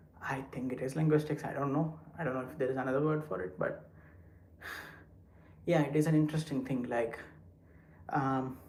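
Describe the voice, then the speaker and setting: At a fairly quick pace with long, frequent pauses, a man with a fairly high pitch speaks in a somewhat breathy voice with fairly even intonation and audible room echo. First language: not English. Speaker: live streamer. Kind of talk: casual chat. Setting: walking while livestreaming.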